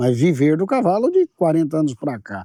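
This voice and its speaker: A man with a fairly high pitch and a dark, mellow tone speaks at a moderate pace with very wide pitch swings. The sound is dry and close with no echo, in a very clean recording with a silent background. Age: 60s. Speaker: agribusiness show host. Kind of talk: casual interview chat.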